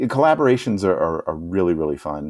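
This man has a very deep, low voice and talks at a moderate pace. The recording is very clean, with a silent background. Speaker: children's musician and podcaster. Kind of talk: interview. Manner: halting.

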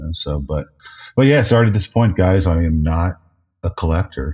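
This man's voice is very deep and low, and somewhat breathy. He talks at a fairly quick pace. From New Jersey, US. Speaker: toy packaging designer. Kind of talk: interview.

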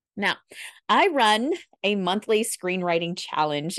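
A woman talks in an enthusiastic tone. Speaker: podcast host, screenwriting teacher. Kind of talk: podcast monologue.

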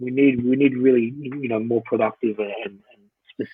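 A man speaks with an Australian accent. His pace is moderate and his intonation fairly even. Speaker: former professional rugby player. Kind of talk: podcast interview. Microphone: poor sound quality.

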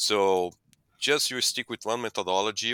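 A man's fairly low, bright, sharp voice with a Portuguese accent and ordinary pitch variation, in a very clean recording with a silent background and a dry, close sound with no echo. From Brazil. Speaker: animal nutrition scientist. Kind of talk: interview.

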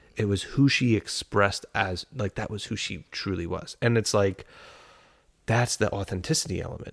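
Heard in a very clean recording with a silent background, a man with an ordinary speaking voice talks at a moderate pace in a fairly low pitch with ordinary pitch variation. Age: 30s. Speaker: podcast co-host. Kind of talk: casual chat.

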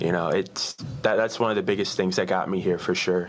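A normal speaking voice from a man with an American accent, fairly low in pitch. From Virginia, US. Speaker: marching percussion drummer and college student. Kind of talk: casual interview.

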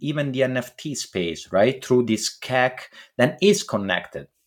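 This man talks at a fairly slow pace with a medium pitch. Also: very clean recording, silent background. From Italy. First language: Italian. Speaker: podcast host. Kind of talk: casual chat with profanity. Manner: casual, profane, excitable.

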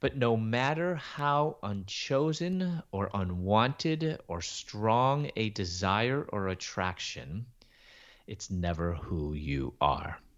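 Against a quiet background, a man talks at a very slow pace. His pitch swings very widely. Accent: American. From Chicago, US Midwest. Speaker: Bible teacher and author. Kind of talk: testimony.

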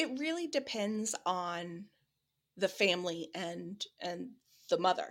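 Speaking very slowly, a woman talks with a Midwestern American accent. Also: medium pitch for a woman, lively intonation. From US Midwest. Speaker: bereaved mother, grief support founder. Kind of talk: interview.

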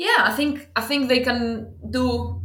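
A woman speaks with a Greek accent. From Greece. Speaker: football club talent scout. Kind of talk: interview.

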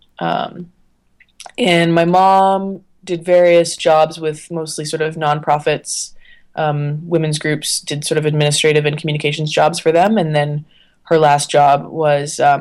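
A woman with a Canadian accent speaks at a moderate pace in a very deep, low pitch, with monotone, flat intonation. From Canada, Ottawa. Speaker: freelance journalist. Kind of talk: casual interview.

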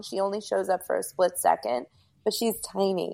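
This is an unremarkable speaking voice with an American accent at a moderate pace. The recording is very clean, with a silent background. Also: woman. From US Northeast, Rockland County, New York. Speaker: paranormal investigator. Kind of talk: casual chat.

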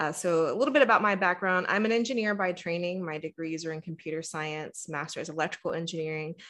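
Against a quiet background, a woman with an American accent and fairly low pitch talks at a very fast pace with hardly any pauses and ordinary pitch variation. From Texas. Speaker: engineer turned diversity and inclusion speaker. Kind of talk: interview conversation.

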